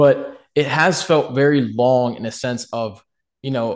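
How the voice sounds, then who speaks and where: A man speaks in a normal speaking voice at medium pitch, with fairly even intonation and a quiet background. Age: 20s. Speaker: rap songwriter and gamer. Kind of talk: casual chat.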